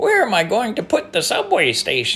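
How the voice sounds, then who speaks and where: Over light background noise, a man puts on a character voice and speaks at a moderate pace. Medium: read story.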